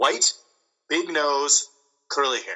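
A man talks here. His pace is fairly slow. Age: 30s. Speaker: military veteran and wrestler. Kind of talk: casual chat. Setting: phone or remote call.

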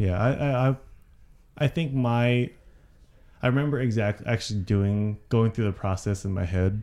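Medium in pitch with a dark, mellow tone, a man speaks at a moderate pace broken by long, frequent pauses. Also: ordinary pitch variation, very clean recording, silent background. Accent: American. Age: 30s. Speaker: podcast co-host, nonprofit worker. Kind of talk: casual chat.

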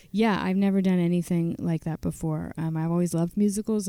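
A woman with an American accent talks at a very fast pace in monotone, flat intonation. Her tone is dark and mellow, at a fairly low pitch. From Virginia, US. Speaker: singer-songwriter. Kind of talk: radio interview.

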